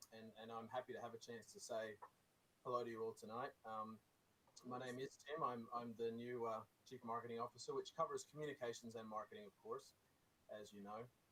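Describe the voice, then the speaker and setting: Bright and sharp in tone, this man's voice sits at a medium pitch. He talks at a fairly quick pace with fairly even intonation. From Australia. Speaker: marketing executive. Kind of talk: meeting remarks. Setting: video call. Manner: halting, many repetitions.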